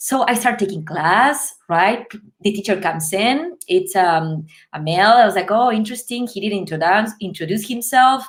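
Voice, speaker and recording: A woman talks at a moderate pace with a Spanish accent. Her voice sits fairly high, with lively intonation. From Uruguay, Montevideo. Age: 30s. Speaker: ballet dancer. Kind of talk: interview storytelling. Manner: animated.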